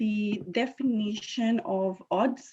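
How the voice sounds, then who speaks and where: A woman speaks with a Spanish accent. Her pitch is medium, with ordinary variation. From Puerto Rico. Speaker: scientist and inventor. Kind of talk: presentation. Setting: video call.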